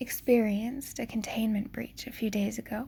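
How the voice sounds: The intonation is fairly even in a natural reading voice.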